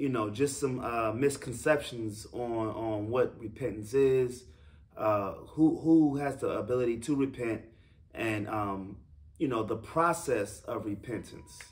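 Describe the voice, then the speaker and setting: A man's somewhat breathy voice at a fairly slow pace, with ordinary pitch variation. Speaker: religious teacher. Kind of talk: sermon-style teaching talk. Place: home room. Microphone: camera far.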